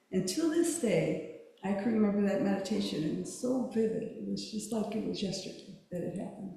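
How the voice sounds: Soft-spoken, a woman with a dark, mellow tone and vocal fry talks at a fairly quick pace with lively intonation amid strong room echo. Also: medium pitch for a woman.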